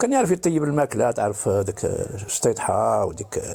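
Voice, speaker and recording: A man's voice over noticeable background noise. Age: 70s. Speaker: caller. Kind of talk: testimony.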